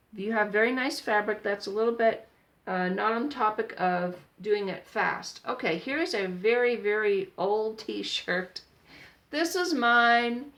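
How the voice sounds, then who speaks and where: A woman with a normal speaking voice talks at a fairly slow pace. Her pitch is fairly high and her intonation lively. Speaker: sewing tutorial vlogger. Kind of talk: tutorial. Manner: casual.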